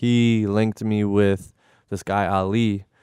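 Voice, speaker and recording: This man has a medium-pitched voice with an American accent. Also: very clean recording, silent background. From Connecticut, US (New Haven area). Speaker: music video director. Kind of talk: casual interview chat. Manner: hesitant, many fillers.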